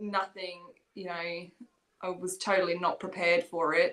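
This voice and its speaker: Speaking fairly slowly with an English accent, a woman has a medium pitch and monotone, flat intonation. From England. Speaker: dog breeder and trainer. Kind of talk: casual interview.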